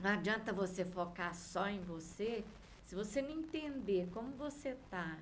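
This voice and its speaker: A somewhat breathy woman speaks very slowly with lively intonation, and the room echo is audible. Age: 60s. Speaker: vibrational therapist. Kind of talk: interview chat.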